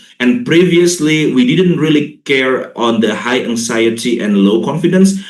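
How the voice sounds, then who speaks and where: With audible room echo, a man speaks at a moderate pace with lively intonation. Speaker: linguist and English teacher educator. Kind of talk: lecture.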